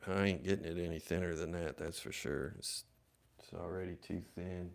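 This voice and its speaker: Vocal fry runs through speech delivered at a moderate pace with fairly even intonation. The recording is very clean with a silent background. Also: man, very deep, low pitch for a man. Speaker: flintknapper livestreamer. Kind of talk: casual livestream chat while working. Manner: low-talking.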